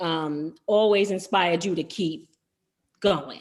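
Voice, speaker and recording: Speaking at a very slow pace, a woman with a medium-pitched voice shows ordinary pitch variation on a very clean recording with a silent background. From New York City, Harlem. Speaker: R&B singer. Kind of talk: interview. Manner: conversational, many fillers.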